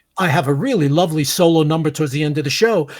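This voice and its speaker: A man with a Brooklyn accent talks at a very fast pace. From New York (Brooklyn). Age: 70s. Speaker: veteran actor. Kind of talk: casual chat. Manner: halting.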